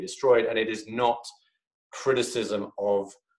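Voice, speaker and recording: A man's medium-pitched voice at a moderate pace. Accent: British. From UK. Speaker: think tank fellow. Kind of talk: online lecture. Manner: halting, many fillers.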